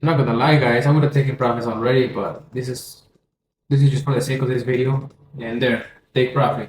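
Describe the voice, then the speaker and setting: A man with a Spanish accent speaks in a somewhat breathy voice. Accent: Spanish accent, non-native English. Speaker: forex trading educator. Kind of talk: tutorial. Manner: halting, many self-corrections; casual, energetic.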